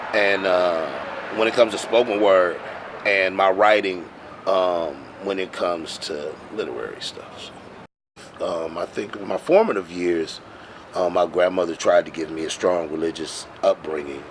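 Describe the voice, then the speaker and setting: Amid noticeable background noise, a man with an American accent speaks at a moderate pace in a very deep, low pitch, his intonation fairly even and his pauses long and frequent. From Milwaukee, Wisconsin. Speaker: poet and slam poetry performer. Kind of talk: interview answer. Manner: bold, full of conviction.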